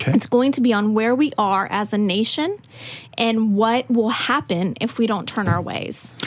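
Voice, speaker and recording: Moderate pace and ordinary pitch variation over noticeable background noise. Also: woman, fairly high pitch for a woman. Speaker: ministry staff member. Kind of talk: casual interview chat.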